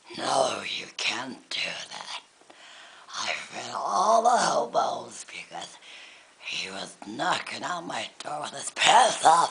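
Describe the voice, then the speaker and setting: A put-on character voice, raspy and delivered at a very slow pace. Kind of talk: comedy skit.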